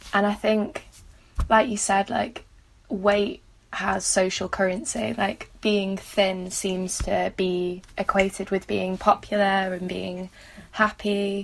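A woman with a Mancunian accent speaks at a medium pitch and a very slow pace. Her intonation is monotone and flat. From Manchester, England. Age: 20s. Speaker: student and mental health blogger. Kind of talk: personal testimony interview.

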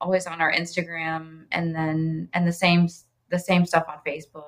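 A woman with an American accent, an unremarkable speaking voice, fairly low pitch and a moderate pace. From Ohio (Oxford). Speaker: pastry chef and bakery owner. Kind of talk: casual interview chat.

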